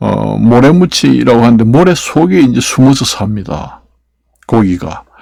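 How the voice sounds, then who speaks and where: At a fairly slow pace, a man talks at medium pitch. His pitch swings very widely. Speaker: YouTuber. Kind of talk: casual vlog monologue. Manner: halting, many fillers and restarts.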